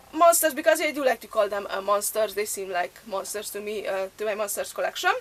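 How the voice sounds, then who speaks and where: A woman's voice shows ordinary pitch variation while noticeable background noise fills the recording. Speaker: thrift collector vlogger. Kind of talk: casual show-and-tell haul video. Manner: hesitant, many filler sounds.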